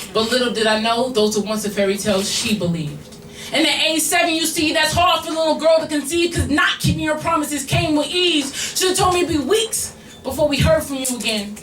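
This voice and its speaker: Over music in the background, a woman talks at a fairly quick pace. Her high voice swings very widely in pitch. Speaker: slam poet. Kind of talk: spoken word poetry performance. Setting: live bar venue with audience.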